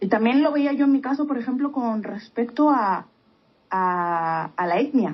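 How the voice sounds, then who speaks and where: At a fairly slow pace, a woman talks in a high voice with lively intonation. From Spain. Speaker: podcast co-host. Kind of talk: casual chat.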